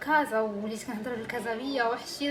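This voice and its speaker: A woman's fairly high voice at a very fast pace, with audible room echo and noticeable background noise. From Morocco, Agadir. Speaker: vlogger. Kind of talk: casual vlog talk to camera.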